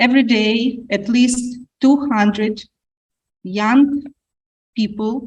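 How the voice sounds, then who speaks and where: This woman's voice is somewhat breathy, and her delivery is very slow. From Ukraine. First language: Ukrainian or Russian. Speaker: panelist. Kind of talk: panel discussion. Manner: halting.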